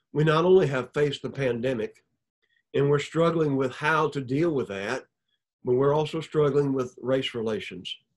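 Over a quiet background, a man with a Southern US accent speaks at a fairly high pitch. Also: ordinary pitch variation, moderate pace. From Alabama. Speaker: preacher, church elder; preacher. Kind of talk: sermon. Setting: recorded video. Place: office. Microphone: webcam.

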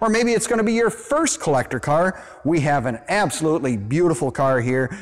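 A man speaks with a high pitch. His voice moves in very wide pitch swings. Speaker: car dealer salesman. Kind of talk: sales walkaround presentation. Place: hall.

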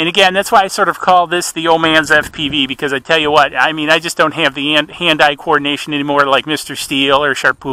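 A man talks at a very fast pace. The sound is dry with no echo. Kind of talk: casual live commentary. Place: open country.

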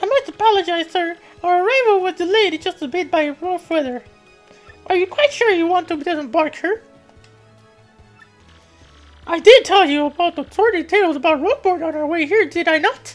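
A put-on character voice sits at an extremely high pitch, moving at a moderate pace with long, frequent pauses. Faint music plays in the background. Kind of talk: formal, proper. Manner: apologetic, cautionary.

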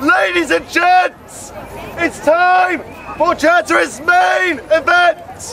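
Against crowd noise in the background, a man projects a raised voice at an extremely high pitch, very slowly, with lively intonation. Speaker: town crier. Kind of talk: town crier proclamation in rhyming verse. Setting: outdoors at a festival. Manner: loud, projected, ceremonial. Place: open country. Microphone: handheld.

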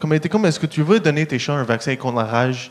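With an English accent, a man talks at a very fast pace. His pitch is fairly high, with ordinary variation. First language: English (speaking French). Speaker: stand-up comedian. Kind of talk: stand-up. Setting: stage with audience. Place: stage. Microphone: handheld.

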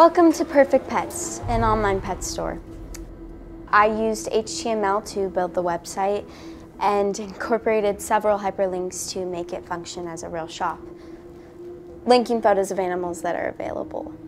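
A woman at a moderate pace, with big swings in loudness and music in the background. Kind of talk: class presentation. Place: classroom.

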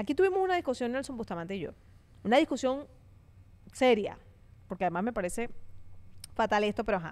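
An animated woman talks at a very fast pace with a fairly high pitch and very wide pitch swings. Long pauses come often. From Venezuela. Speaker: podcast host. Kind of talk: casual chat. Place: studio. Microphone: studio mic.

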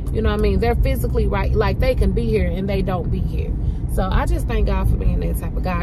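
A woman's voice in a dry sound with no echo, over loud background noise. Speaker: lifestyle vlogger. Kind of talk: casual vlog chat. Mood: grateful, encouraging. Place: car. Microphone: phone near.

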